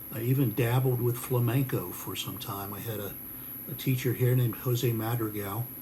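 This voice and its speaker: An unremarkable speaking voice from a man with an American accent, medium in pitch, moderate in pace, with fairly even intonation. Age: 60s. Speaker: guitar maker and musician. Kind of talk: casual video message.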